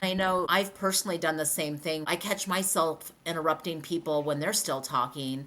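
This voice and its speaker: Speaking with an unremarkable speaking voice, a woman keeps a moderate pace with hardly any pauses, her pitch fairly low and her pitch variation ordinary. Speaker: podcast co-host. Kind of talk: casual podcast chat.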